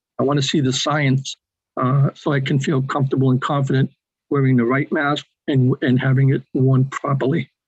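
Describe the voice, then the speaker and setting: A man in an American accent at a moderate pace, medium pitch, monotone and flat, somewhat breathy, very even in loudness, with a dry, close sound and no echo. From New England, Boston. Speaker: webinar attendee asking questions. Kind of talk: webinar Q&A.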